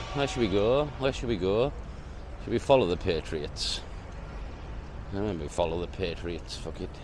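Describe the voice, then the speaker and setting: A man with a fairly low voice speaks at a moderate pace with lively intonation, leaving long, frequent pauses, and room echo can be heard. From northern England. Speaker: travel vlogger. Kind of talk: casual walking vlog. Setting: outdoors on London streets, then a cafe. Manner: casual, profane.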